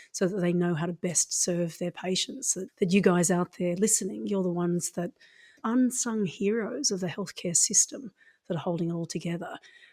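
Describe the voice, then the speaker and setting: A woman at medium pitch with an Australian accent, ordinary pitch variation and a moderate pace, in a very clean, dry, close recording with no echo and a silent background. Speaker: acupuncturist. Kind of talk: interview conversation.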